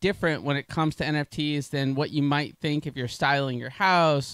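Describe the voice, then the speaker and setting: Against a quiet background, a man speaks at a fairly quick pace with a dry sound that has no echo. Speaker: panel moderator. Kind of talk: event host introduction. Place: stage. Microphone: handheld.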